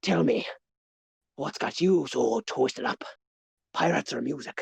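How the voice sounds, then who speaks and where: A man puts on a raspy character voice. He speaks at a moderate pace and a fairly high pitch. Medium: actual play. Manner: boisterous, teasing.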